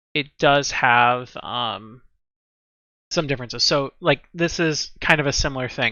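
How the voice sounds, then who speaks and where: A man with a plain, everyday voice talks at a fairly slow pace, fairly high in pitch with ordinary pitch variation. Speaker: streamer and card game deck builder. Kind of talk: live stream tutorial. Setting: live stream.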